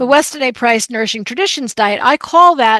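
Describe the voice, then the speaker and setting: An animated woman with an American accent, on a very clean recording with a silent background and a dry, close sound with no echo. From New Jersey. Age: 60s. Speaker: chef and diet expert. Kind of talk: podcast interview.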